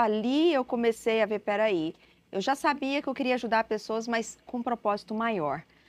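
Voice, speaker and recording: Against a quiet background, a woman with a Minas Gerais accent talks at a moderate pace in a fairly high voice. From Brazil, Minas Gerais. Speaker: missionary. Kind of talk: interview testimony.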